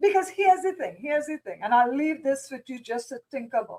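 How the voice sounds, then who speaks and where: A woman with a Trinidadian accent and lively intonation. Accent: Trinidadian Caribbean. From Trinidad and Tobago. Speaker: business strategist. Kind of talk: casual interview chat.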